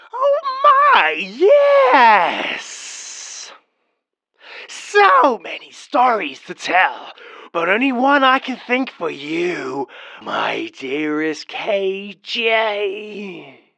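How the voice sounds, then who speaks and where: This put-on character voice has a fairly high pitch. It moves at a very slow pace with long, frequent pauses. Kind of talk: horror story narration. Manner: mock grandma voice.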